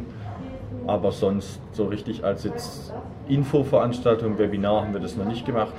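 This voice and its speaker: Music plays in the background as a man speaks in a fairly low pitch. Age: 20s. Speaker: student association board member. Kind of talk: interview. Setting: café.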